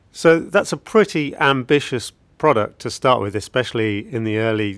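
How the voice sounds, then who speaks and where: An ordinary speaking voice, a man's at medium pitch with ordinary pitch variation, on a very clean recording with a silent background. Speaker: podcast interviewer. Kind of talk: interview.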